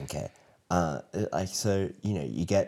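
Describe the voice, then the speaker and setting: In a very clean recording with a silent background, a man with an Australian accent speaks fairly slowly in a dark, mellow tone with vocal fry. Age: 20s. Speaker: elementary school teacher. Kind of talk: casual interview chat.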